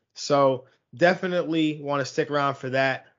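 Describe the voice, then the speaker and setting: Fairly high in pitch, a man has an ordinary speaking voice with fairly even intonation. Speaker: fantasy football podcast host. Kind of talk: casual sports podcast discussion.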